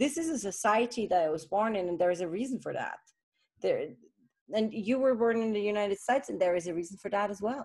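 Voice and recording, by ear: The tone is slightly mellow with a slightly husky edge. Intonation is lively and the pace fairly quick. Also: woman.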